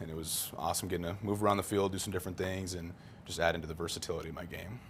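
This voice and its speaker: A man's very deep, low voice, very fast and monotone with flat intonation, in audible room echo. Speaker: college football player. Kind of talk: interview. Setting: studio.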